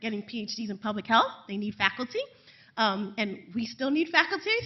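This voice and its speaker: A woman with a New York accent talks at a fairly quick pace. Her pitch is fairly high. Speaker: assistant professor of public health. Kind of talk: panel talk. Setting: panel event with audience. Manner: fast; loud.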